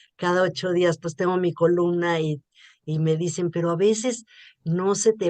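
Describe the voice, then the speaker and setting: In a dry, close sound with no echo, a woman speaks at a moderate pace in a fairly low voice. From Mexico. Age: 60s. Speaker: journalist and writer. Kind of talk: interview.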